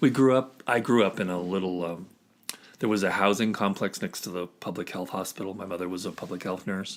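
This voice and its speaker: Speaking with an American accent at a fairly quick pace, a man uses a very deep, low pitch and fairly even intonation. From US Southwest (Arizona and Grants, New Mexico). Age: 60s. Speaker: podcast guest. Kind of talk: casual interview.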